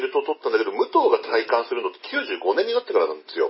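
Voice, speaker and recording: A man at an extremely high pitch, very fast, with lively intonation and noticeable background noise. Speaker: pro wrestling fan commentator. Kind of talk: casual chat.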